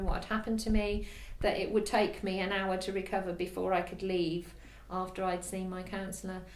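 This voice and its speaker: Audible room echo surrounds a woman speaking at a medium pitch with monotone, flat intonation. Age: 60s. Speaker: counselling client. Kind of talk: testimony. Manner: halting.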